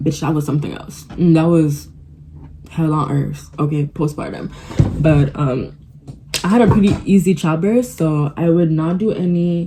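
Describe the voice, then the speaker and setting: A woman talks at a moderate pace with a very deep, low pitch and ordinary pitch variation. Noticeable background noise runs underneath. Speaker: vlogger. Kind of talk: casual chat. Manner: animated.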